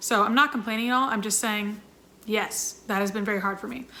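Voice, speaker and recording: A woman talks at a very fast pace in an animated tone. Noticeable background noise runs underneath. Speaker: YouTuber and singer in a sister band. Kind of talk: Q&A vlog.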